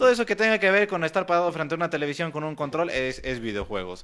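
The recording is very clean, with a silent background. A man talks at a very fast pace in a high pitch, his tone bright and sharp, with very wide pitch swings. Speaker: gamer guest. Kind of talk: casual chat.

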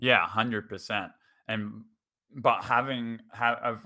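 The speaker is a man with an Australian accent. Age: 20s. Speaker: teacher. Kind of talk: casual chat.

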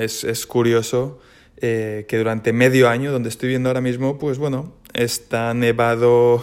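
In a plain, everyday voice, this man keeps a medium pitch, a moderate tempo and fairly even intonation. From Spain, Valencia. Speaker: triathlete. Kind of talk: casual monologue.

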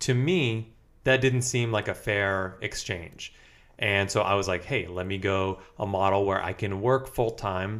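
In a very clean recording with a silent background, a man speaks fairly slowly at a fairly low pitch, with fairly even intonation and an ordinary speaking voice. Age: 20s. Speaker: podcast host and physical therapist. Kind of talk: casual chat.

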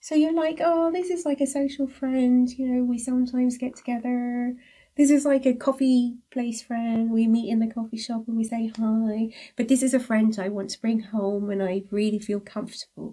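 A woman with a high pitch speaks at a moderate pace. Her tone is dark and mellow, with ordinary pitch variation. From abroad, moved countries as a child. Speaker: podcast co-host. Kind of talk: casual chat.

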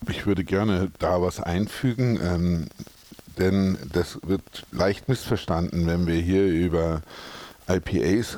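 Moving at a fairly slow pace, the voice carries a dark, mellow tone and ordinary pitch variation. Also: man. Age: 50s. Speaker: brewery director. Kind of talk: interview. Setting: brewery.

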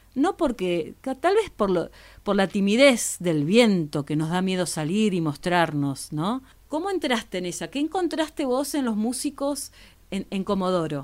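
In an Argentine accent, a woman speaks at a fairly slow pace with medium pitch and very wide pitch swings. The recording is very clean, with a silent background. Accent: Argentine Spanish (rioplatense voseo). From Argentina, Patagonia. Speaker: podcast host. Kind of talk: interview.

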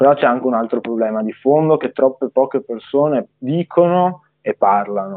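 Speaking at a moderate tempo in a normal speaking voice, the man holds a medium pitch that varies in an ordinary way. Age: young. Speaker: young politician. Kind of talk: live-stream interview.

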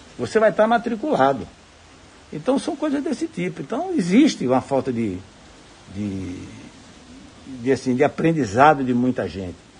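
Speaking at a moderate pace, the man leaves long, frequent pauses. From Bahia, Brazil (Jacobina). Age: 60s. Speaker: civil engineer and businessman. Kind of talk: recorded interview testimony. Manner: halting.

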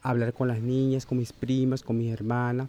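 A man's dark, mellow voice in a monotone, flat delivery. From Panama. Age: 40s. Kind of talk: interview. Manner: halting.

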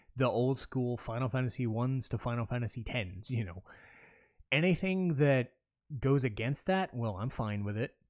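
An ordinary speaking voice, a man at medium pitch and moderate pace with lively intonation, on a very clean recording with a silent background. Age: 30s. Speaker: podcast host and gaming content creator. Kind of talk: solo casual monologue. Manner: casual, frequent fillers and restarts.

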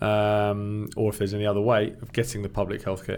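There is music in the background. The talking goes along at a fairly quick clip. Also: man. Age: 40s. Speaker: teacher. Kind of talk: casual chat.

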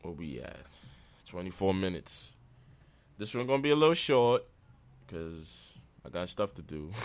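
With very wide pitch swings and big jumps in loudness, a man with a very deep, low voice talks at a moderate pace, leaving long, frequent pauses. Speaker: podcaster. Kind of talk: casual solo rant. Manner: gets emotional, raises voice on sensitive topics.

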